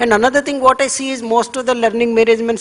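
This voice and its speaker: The speaker has an Indian accent. Noticeable background noise is present. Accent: Indian English, Telugu. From India, Andhra Pradesh. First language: Telugu. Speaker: government education official. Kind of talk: panel talk. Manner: halting, with repeated fillers.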